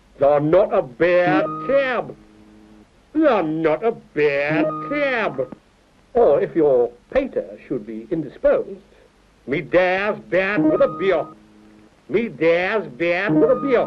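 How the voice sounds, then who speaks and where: Music plays behind a man with a high pitch and very wide pitch swings. He talks at a very slow pace with long, frequent pauses. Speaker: author. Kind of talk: comic mock language-lesson narration.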